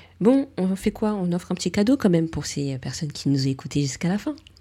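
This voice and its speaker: Recorded very cleanly against a silent background, a woman with a fairly low pitch and a dark, mellow, somewhat breathy tone talks at a moderate pace, her pitch swinging very widely. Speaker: beauty podcast host, beautician. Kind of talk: casual interview chat.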